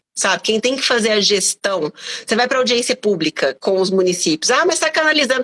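A woman at a fairly quick pace, dry, close sound with no echo, noticeable background noise underneath. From Brazil, Belo Horizonte (Minas Gerais). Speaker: teacher and environmental activist. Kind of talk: live online interview.

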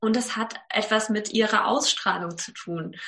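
At a fairly slow pace, a woman with a fairly high pitch and lively intonation talks in a plain, everyday voice against a quiet background. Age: 30s. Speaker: actress, presenter and voice coach. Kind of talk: casual interview chat.

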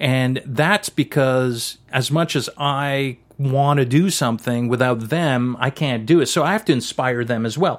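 Speaking in a French Canadian accent, a man holds a medium pitch with ordinary pitch variation. His pace is fairly slow, with hardly any pauses. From French Canada. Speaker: cinematographer. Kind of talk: interview.

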